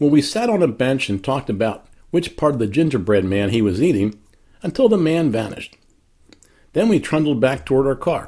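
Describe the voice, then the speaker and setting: This man has a fairly high pitch and very wide pitch swings. He talks at a moderate pace. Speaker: inspirational blogger. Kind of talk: personal reflection monologue.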